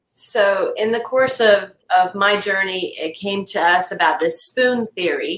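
A woman's fairly even intonation is accompanied by audible echo from the room. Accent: American. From US South. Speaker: cancer patient. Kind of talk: interview conversation. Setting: video call. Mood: earnest, reflective. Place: home room.

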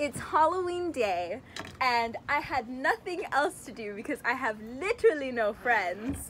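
A woman speaks at a very slow pace with very wide pitch swings. Light background noise can be heard. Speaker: craft vlogger. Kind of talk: casual vlog chat. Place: garden. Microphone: phone near.

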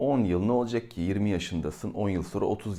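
Here a man talks at a fairly quick pace in a fairly low pitch. His tone is dark and mellow, with ordinary pitch variation. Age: 40s. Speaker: YouTuber. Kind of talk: casual monologue. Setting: indoors during thunderstorm.

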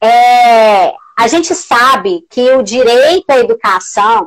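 Against a quiet background, a woman talks with very wide swings in pitch. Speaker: live-stream host. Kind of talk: casual live-stream interview. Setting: video call. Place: home room. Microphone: earbuds.

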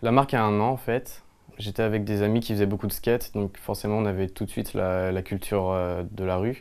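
Here a man talks at a fairly quick pace with a fairly low pitch. His intonation stays fairly even. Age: 20s. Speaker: clothing brand founder. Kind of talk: interview talk. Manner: hesitant, many fillers. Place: shop. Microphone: lapel.

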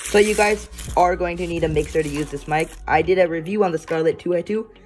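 Over light background noise, the speech comes at a very fast pace. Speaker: unboxing vlogger. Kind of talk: casual unboxing commentary. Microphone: phone near.

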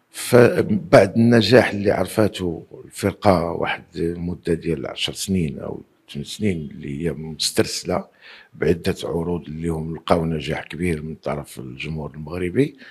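Against a quiet background, a man with a very deep, low voice talks at a moderate pace with hardly any pauses, his loudness swinging widely while his pitch varies in an ordinary way. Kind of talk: interview answer. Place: home room. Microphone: handheld.

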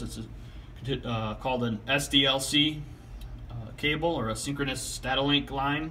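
A man at a moderate pace with fairly even intonation, light background noise behind him. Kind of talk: tutorial. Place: home room. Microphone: phone near.

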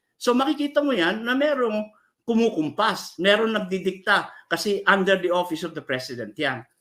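At a moderate pace, a man talks in a high pitch with a bright, sharp tone and very wide pitch swings. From Philippines, Ilocano (Abra). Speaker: human rights lawyer. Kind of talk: interview.

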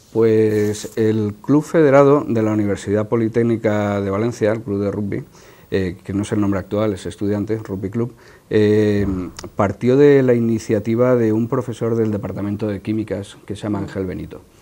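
A man talks at a moderate pace in a dark, mellow tone. His pitch is fairly low, with fairly even intonation. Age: 50s. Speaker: veteran rugby player; guest. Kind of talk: TV interview. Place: studio. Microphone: lapel.

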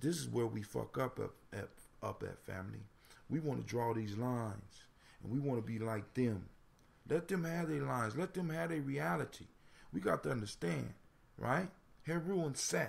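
Somewhat breathy and at a moderate pace, a man speaks at a medium pitch with very wide pitch swings and long, frequent pauses. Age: 40s. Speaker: internet radio host. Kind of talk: casual call-in radio talk with proverb discussion. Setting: home studio with mic. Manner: animated.

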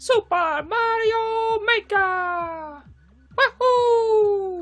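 In a put-on character voice, the speaker talks at a very slow pace with an extremely high pitch. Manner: excited, cheerful.

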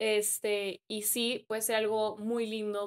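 A woman speaks against a quiet background. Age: 20s. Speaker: social media influencer. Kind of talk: casual chat. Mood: reflective, calm. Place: home room. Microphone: studio mic.

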